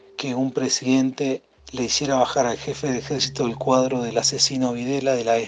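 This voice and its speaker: A man's voice sits at a medium pitch as he talks at a moderate pace. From Mar del Plata, Argentina. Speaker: musician. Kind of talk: recorded testimony.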